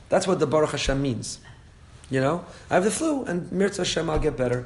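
A man with a fairly high pitch at a very fast pace. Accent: American. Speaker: rabbi teaching a Torah class. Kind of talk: religious lecture. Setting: class with live audience. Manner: conversational, with laughs.

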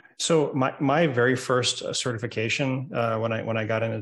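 A somewhat breathy man at medium pitch and a moderate pace. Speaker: tech podcast host. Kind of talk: casual tech podcast chat. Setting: video call. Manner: hesitant, many fillers and repetitions.

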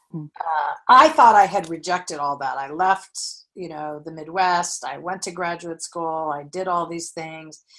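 A woman speaks at a moderate pace in an ordinary speaking voice, fairly low in pitch. Her intonation is fairly even, over a quiet background. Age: 50s. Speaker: memoir writer. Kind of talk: interview.

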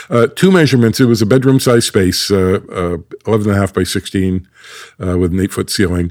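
Dry and close, with no echo, the sound carries a man's ordinary speaking voice. He talks at a fairly quick pace, fairly low in pitch with ordinary variation. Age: 60s. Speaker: acoustics company founder. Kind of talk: interview.

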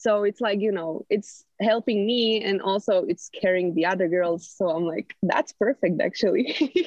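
Hardly pausing, a woman with a Slovak accent speaks at a moderate pace with very even loudness and ordinary pitch variation. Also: medium pitch for a woman. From Slovakia, Martin. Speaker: college swimmer. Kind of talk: casual interview.

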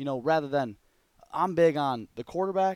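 A man speaks with an Upper Midwest accent at a moderate pace. Pitch varies in an ordinary way, and the sound is dry and close with no echo. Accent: Upper Midwest American. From Michigan, Grand Haven. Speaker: college football quarterback coach. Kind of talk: casual interview chat.

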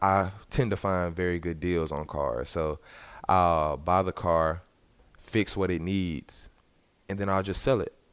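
A very deep, low-pitched man in a Southern US accent, at a very slow pace with long, frequent pauses and ordinary pitch variation. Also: very clean recording, silent background. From US South, Arkansas (Little Rock). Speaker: college basketball player. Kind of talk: interview.

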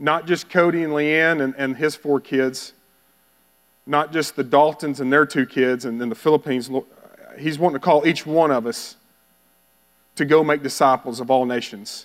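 At a moderate pace with long, frequent pauses, a man with a Texan accent speaks at a fairly high pitch with fairly even intonation. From Texas (Bowie). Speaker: missionary. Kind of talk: sermon.

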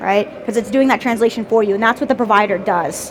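Over noticeable background noise, a woman speaks at a high pitch. Her pitch variation is ordinary. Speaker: tech company director giving conference talk. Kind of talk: conference presentation. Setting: stage with audience. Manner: fast.

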